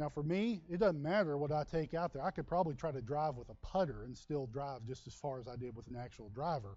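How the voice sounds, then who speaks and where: With hardly any pauses, a man speaks at a fairly high pitch, his intonation lively and his loudness swinging widely. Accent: Texas. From Texas. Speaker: pastor. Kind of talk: sermon. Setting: church.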